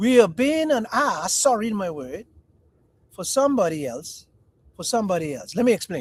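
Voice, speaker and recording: Animated and high-pitched, a man speaks at a moderate pace with very wide pitch swings, big swings in loudness, and long, frequent pauses. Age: 60s. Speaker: podcast host. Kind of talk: casual chat.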